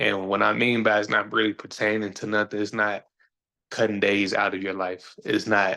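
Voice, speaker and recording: A man speaks at a moderate pace against a quiet background. His fairly low voice has a bright, sharp tone, vocal fry and monotone, flat intonation. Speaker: podcast host and DJ. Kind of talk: casual monologue. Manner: halting, with repeated words.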